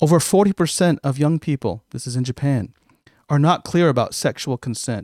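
A plain, everyday voice from a man with an American accent, fairly high in pitch with ordinary pitch variation, at a fairly quick pace, dry and close with no echo. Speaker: podcast co-host. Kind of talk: casual chat.

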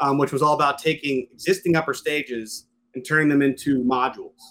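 Bright and sharp in tone, a man with an American accent talks at a fairly quick pace with fairly even intonation. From Western Pennsylvania, US. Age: 40s. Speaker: space company CEO. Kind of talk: interview.

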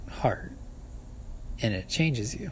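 A man talks with vocal fry. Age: 30s. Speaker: podcaster. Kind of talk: solo outdoor ramble. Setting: outdoors at a park picnic shelter. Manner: halting, many fillers and laughs.

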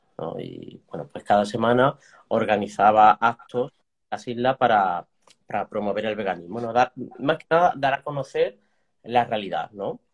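A man's plain, everyday voice at medium pitch, with ordinary pitch variation, big swings in loudness and a dry, close sound with no echo. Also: moderate pace. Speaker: animal sanctuary co-founder and author. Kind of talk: interview.

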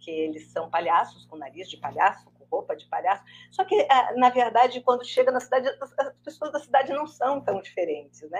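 A woman speaks at a moderate pace. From southern Brazil, Rio Grande do Sul. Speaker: screenwriter and art director. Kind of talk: interview on a live stream.

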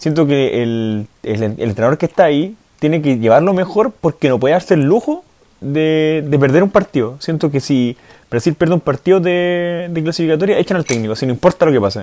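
Here a man with a Chilean accent speaks at a fairly quick pace and a fairly high pitch, in a dark, mellow tone. His intonation is lively, and the sound is dry and close with no echo. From Chile, San Felipe. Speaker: football podcast co-host. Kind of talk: casual chat. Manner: animated.

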